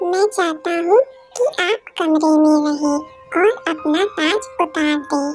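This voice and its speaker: A put-on character voice speaks at a fairly slow pace with clear music in the background. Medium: read story. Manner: solemn, careful.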